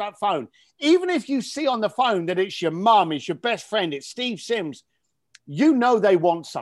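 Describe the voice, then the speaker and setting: A man with a British accent, high-pitched, with very wide pitch swings at a moderate pace, on a very clean recording with a silent background. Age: 50s. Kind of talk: interview. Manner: animated.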